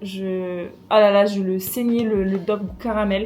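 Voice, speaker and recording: A woman speaks with a fairly high pitch. Noticeable background noise is present. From France. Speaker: YouTuber. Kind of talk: casual vlog unboxing.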